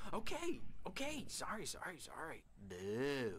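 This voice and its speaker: Over clear background noise, a man talks at a fairly slow pace in a put-on character voice. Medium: video game. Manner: playful, creepy, giggling.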